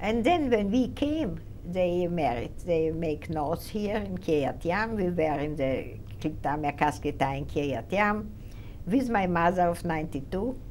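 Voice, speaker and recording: Speaking fairly slowly, a woman with a fairly low pitch and vocal fry is heard against audible room echo. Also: lively intonation. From Romania. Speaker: Holocaust survivor. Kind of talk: testimony. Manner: halting.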